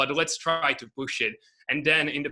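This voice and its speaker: Bright and sharp in tone, a man with a non-native accent speaks at a moderate pace. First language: not English. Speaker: agency owner, coaching student. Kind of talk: interview. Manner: halting.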